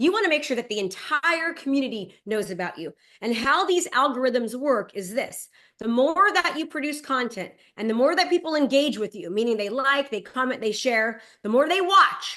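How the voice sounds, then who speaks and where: Raised and projected against a quiet background, a woman's high voice has a bright, sharp, energetic tone and very wide pitch swings. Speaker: real estate and digital marketing coach. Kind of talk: webinar presentation. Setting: video call. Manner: fast.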